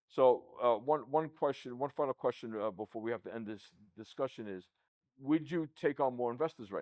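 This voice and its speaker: In a New York accent, a man at medium pitch talks at a fairly quick pace, his loudness swinging widely. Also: ordinary pitch variation. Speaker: podcast host, accounting firm CEO. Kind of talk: casual interview chat. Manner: repeats words, stammering starts.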